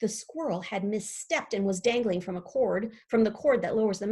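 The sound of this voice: An unforced reading voice carries lively intonation from start to finish.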